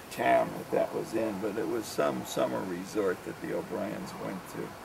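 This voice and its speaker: An American accent from a man at a moderate pace, with audible room echo and noticeable background noise. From New Jersey / New York area, US. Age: 60s. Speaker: father recounting memories. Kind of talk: oral history reminiscence. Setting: outdoors on a deck. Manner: halting, many fillers.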